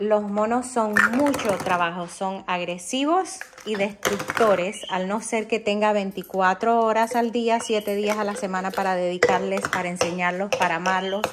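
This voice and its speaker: A woman speaks at a fairly slow pace with ordinary pitch variation while loud background noise fills the recording. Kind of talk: casual vlog chat. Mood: warm, then earnest warning. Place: kitchen. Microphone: phone near.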